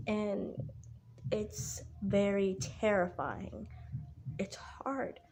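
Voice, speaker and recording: Very slowly, a woman talks as music plays behind her. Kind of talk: casual talk to camera. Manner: hesitant, many fillers, stuttering.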